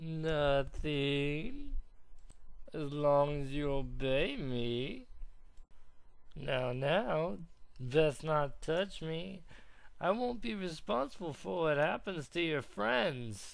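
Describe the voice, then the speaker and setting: In a put-on character voice, a raspy man with a fairly high pitch speaks at a very slow pace, with long, frequent pauses. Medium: dub.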